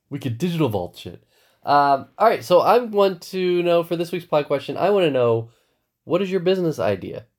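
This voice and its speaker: At a moderate pace, a high-pitched man speaks with lively intonation. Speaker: podcast host. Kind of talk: casual chat.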